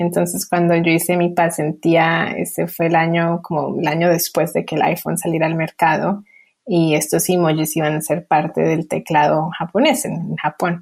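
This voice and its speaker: A woman with a fairly low voice and vocal fry talks at a moderate pace with hardly any pauses, keeping her intonation fairly even. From Colombia, then US from age 8. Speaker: emoji designer. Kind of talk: interview.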